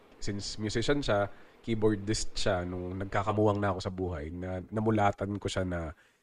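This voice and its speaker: In a very clean recording with a silent background, a man with a normal speaking voice talks at a moderate pace, his fairly low pitch following a fairly even intonation. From Philippines, Nasugbu, Batangas. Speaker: keyboardist and music producer. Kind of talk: interview conversation.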